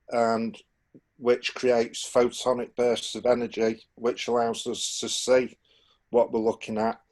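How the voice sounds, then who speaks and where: With a Manchester accent, a man at medium pitch speaks very slowly in a flat monotone. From northern England, Manchester. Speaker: alternative propulsion researcher. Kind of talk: technical explanation on group call. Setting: Zoom video call. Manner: halting, many fillers.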